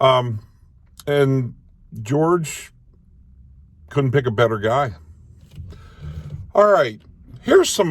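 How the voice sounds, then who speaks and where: An American man speaks at a fairly slow pace with lively intonation, leaving long, frequent pauses. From Maryland, US. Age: 60s. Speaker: independent presidential candidate. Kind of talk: campaign video address.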